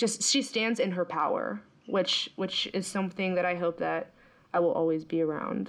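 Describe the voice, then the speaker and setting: Speaking with an American accent, a woman has a medium pitch, ordinary pitch variation, vocal fry, very even loudness and a moderate pace. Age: 30s. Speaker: consultant. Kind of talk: casual chat.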